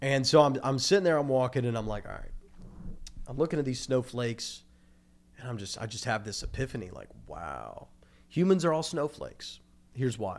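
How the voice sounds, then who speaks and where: Lively intonation and big swings in loudness mark a man's medium-pitched voice with vocal fry. He talks at a fairly quick pace, with long, frequent pauses. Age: 20s. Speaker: podcast host. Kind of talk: casual chat.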